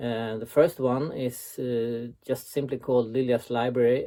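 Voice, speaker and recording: A man with a Swedish accent talks at a fairly slow pace and medium pitch. His tone is dark and mellow, his intonation monotone and flat. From Sweden. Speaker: website founder and author. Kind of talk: recorded interview answers. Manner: hesitant, many filler sounds.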